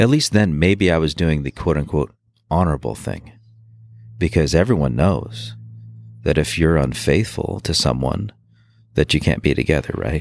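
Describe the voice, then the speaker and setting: A man's very deep, low voice with vocal fry and lively intonation, at a moderate pace with long, frequent pauses. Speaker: former Marine and police officer. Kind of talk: personal testimony interview. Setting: outdoors. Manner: halting with fillers.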